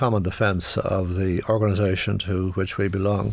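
In a very clean recording with a silent background, a man with a Dublin accent talks at a moderate pace. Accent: Dublin Irish. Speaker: economist and former politician. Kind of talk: interview. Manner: halting.

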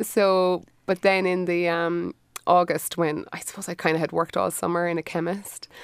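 A woman with a Cork accent speaks in a monotone, flat intonation at a fairly low pitch. Her pace is moderate, and the recording is very clean with a silent background. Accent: Cork Irish. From Ireland, Cork. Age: 40s. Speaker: design studio owner. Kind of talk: casual chat.

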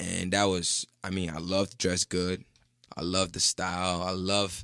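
The voice is monotone, with flat intonation. The recording is very clean, with a silent background. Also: man. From Ghana. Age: 20s. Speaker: painter and body artist. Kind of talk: casual chat.

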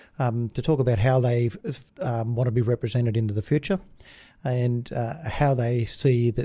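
A somewhat breathy man with a dark, mellow tone against a quiet background. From Australia, outback New South Wales (Brewarrina). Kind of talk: interview. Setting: studio. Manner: hesitant, many fillers.

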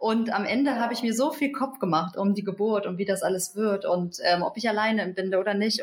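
A woman speaks at a moderate pace in a plain, everyday voice. Her medium pitch shows ordinary variation. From Hamburg, northern Germany. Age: 30s. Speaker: midwife. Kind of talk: interview conversation.

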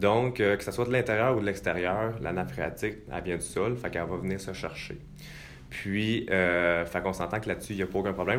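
A man's fairly low voice at a fairly quick clip, ordinary pitch variation, audible echo from the room. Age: 20s. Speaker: real estate investor. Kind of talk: interview. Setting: studio.

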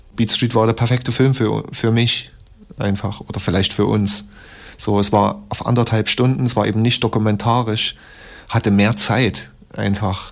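A man with a plain, everyday voice, fairly low in pitch, with ordinary pitch variation and a moderate pace. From Leipzig, East Germany. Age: 30s. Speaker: hip-hop producer. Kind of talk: interview for radio feature.

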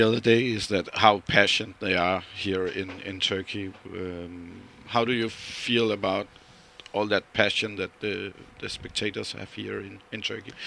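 With a Danish accent, a man speaks at a moderate pace in a fairly low pitch, his intonation fairly even but his loudness swinging widely. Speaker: fan radio interviewer. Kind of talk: interview; podcast intro. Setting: on location in Istanbul.

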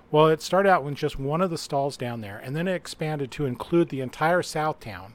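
With an American accent and a normal speaking voice, a man talks at a fairly quick pace and a fairly high pitch with hardly any pauses, ordinary pitch variation and big swings in loudness, on a very clean recording with a silent background. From Utah. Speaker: game writer and reviewer. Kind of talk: casual chat.

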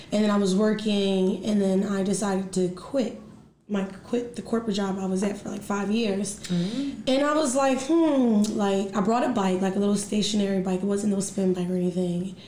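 At a moderate pace with hardly any pauses, a speaker with an American accent shows ordinary pitch variation, with audible room echo and noticeable background noise. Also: woman, medium pitch for a woman. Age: 30s. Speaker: fitness studio owner and teacher. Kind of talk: casual interview chat.

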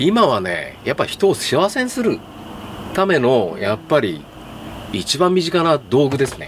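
Over noticeable background noise, a man speaks at a moderate pace in a fairly high pitch, his voice making very wide pitch swings. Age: 60s. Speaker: third-generation furniture store owner. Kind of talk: casual chat.

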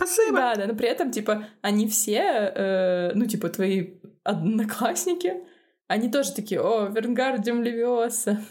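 A somewhat breathy woman speaks at a fairly high pitch with ordinary pitch variation. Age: 30s. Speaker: podcast co-host, screenwriter and narrative designer. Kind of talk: casual chat.

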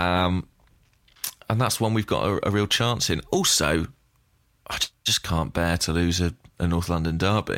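In a British accent, a man talks at a moderate pace with a very deep, low pitch and ordinary pitch variation. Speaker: podcast host. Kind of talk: casual chat. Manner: hesitant, dry humour.

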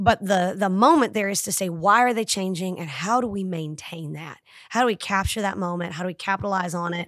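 With an American accent, a woman in a normal speaking voice talks at a fairly quick pace and medium pitch with ordinary pitch variation, on a very clean recording with a silent background. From Tennessee, US South. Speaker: high school principal. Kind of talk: casual interview.

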